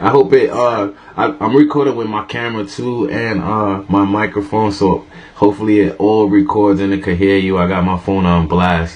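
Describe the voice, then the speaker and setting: With noticeable background noise behind it, the speech moves at a moderate pace. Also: man, fairly low pitch for a man, ordinary pitch variation. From New York, the Bronx. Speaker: podcast host. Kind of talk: casual chat.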